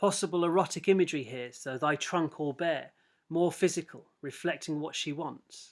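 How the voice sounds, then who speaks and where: In a very clean recording with a silent background, a man is heard. His pitch varies in an ordinary way. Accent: English. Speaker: English teacher. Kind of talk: lecture. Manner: fast.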